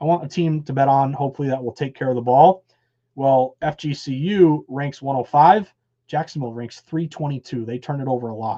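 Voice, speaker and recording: A man with an American accent and a fairly high pitch, dark and mellow in tone, fairly quick, with ordinary pitch variation. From US Northeast, western Massachusetts (Berkshires). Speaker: sports betting analyst. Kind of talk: live stream betting analysis. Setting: live stream. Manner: animated.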